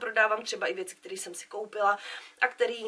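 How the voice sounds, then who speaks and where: Her pitch swinging very widely, a woman is speaking. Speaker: beauty vlogger. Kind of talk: casual vlog chat.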